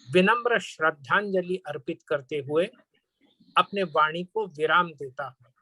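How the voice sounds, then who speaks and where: Bright and sharp in tone, a man with a Marathi accent speaks at a high pitch with ordinary pitch variation in a dry, close sound with no echo. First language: Marathi (speaking Hindi). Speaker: panel speaker. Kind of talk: formal speech. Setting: webinar.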